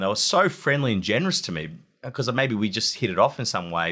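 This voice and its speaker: A man's bright, sharp voice with an Australian accent, fairly quick pace and very wide pitch swings. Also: very clean recording, silent background. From Australia, Wollongong. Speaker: war correspondent. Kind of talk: interview.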